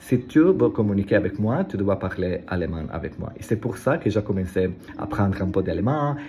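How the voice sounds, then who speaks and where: Lively intonation at a moderate pace, with an Italian accent. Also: man, fairly low pitch for a man. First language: Italian (speaking French). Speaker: language learner vlogger. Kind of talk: casual vlog monologue. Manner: halting, many hesitations and repetitions.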